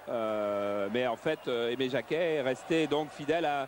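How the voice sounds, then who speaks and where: His pitch sits in the middle range. This man's pitch moves in an ordinary way. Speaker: football pundit. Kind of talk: live commentary. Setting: stadium. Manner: soft-spoken; halting.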